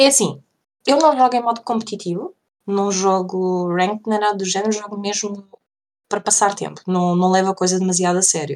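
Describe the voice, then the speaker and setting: With an unremarkable speaking voice, a woman talks at a fairly quick pace, her pitch medium and its variation ordinary. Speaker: podcast co-host. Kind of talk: casual chat.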